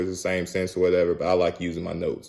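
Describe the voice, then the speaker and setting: At a very fast pace, a man speaks in a dark, mellow tone. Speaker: motivational vlogger. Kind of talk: motivational talk to camera. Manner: casual with many fillers.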